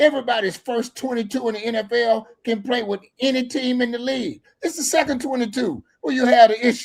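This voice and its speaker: The recording is very clean, with a silent background. A man with an extremely high pitch talks at a fairly quick pace in an animated tone. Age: 60s. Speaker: football commentator. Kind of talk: casual chat.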